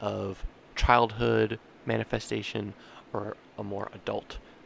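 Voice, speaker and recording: A man speaks over noticeable background noise. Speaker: vlogger sharing manga project ideas. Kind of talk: casual solo vlog update. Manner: casual, filler-heavy (um, like).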